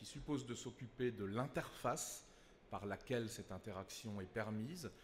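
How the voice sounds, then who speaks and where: A man with a fairly low pitch sounds somewhat breathy and uses ordinary pitch variation. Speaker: consulting company executive. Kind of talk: conference panel talk.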